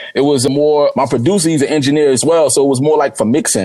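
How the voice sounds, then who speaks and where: A man speaks with an American accent. His pace is very fast, with ordinary pitch variation. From Newark, New Jersey. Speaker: rapper. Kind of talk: casual interview chat. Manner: casual, repetitive filler speech.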